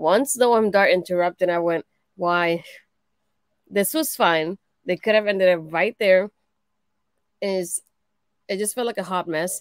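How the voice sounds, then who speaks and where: In a quiet, dry setting with no echo, a woman with a non-native accent speaks at a medium pitch and fairly slow pace, with ordinary pitch variation and long, frequent pauses. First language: not English. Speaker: wrestling show reviewer. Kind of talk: casual chat. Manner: animated. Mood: mildly critical, amused. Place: home room. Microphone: webcam.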